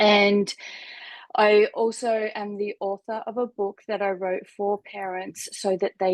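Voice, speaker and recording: In an Australian accent, a woman speaks at a fairly slow pace, the sound dry and close with no echo against a quiet background. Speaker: life coach and therapist. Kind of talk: interview conversation.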